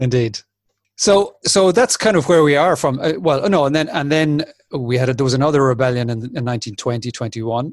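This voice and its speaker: This man has a northwest Irish accent and a fairly high pitch. He talks at a moderate pace with ordinary pitch variation. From Republic of Ireland, Sligo. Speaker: podcast host. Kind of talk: casual chat. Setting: video call.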